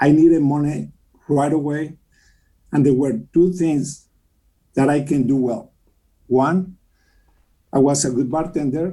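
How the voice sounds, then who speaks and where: A man with a Mexican accent in a dark, mellow tone, fairly high in pitch, with fairly even intonation and long, frequent pauses. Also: fairly slow pace. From Mexico City. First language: Spanish. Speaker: mortgage company president and philanthropist. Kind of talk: interview.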